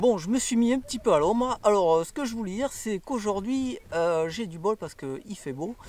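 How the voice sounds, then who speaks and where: A man with a southwestern French accent lets his pitch swing very widely. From southwest France, Toulouse. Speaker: travel vlogger. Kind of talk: casual travel vlog. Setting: outdoors, in a canoe on a river. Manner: hesitant, many filler sounds.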